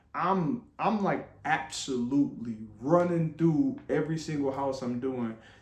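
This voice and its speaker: Over noticeable background noise, a man with an American accent talks at a fairly slow pace, his fairly high voice carrying lively intonation. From Flint, Michigan. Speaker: vlogger. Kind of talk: personal testimony. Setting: room with others listening.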